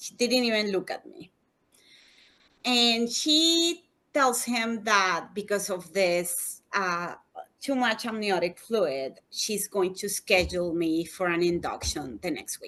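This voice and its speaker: Over a quiet background, a woman with a non-native accent speaks very slowly at a medium pitch, her bright, sharp tone marked by very wide pitch swings and big swings in loudness. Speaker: human rights attorney. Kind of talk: personal testimony in interview.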